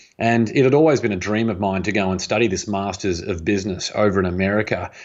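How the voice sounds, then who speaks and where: Speaking at a very fast pace, a man with an Australian accent uses a fairly low pitch and ordinary pitch variation. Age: 30s. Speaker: author and entrepreneur. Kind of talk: interview conversation.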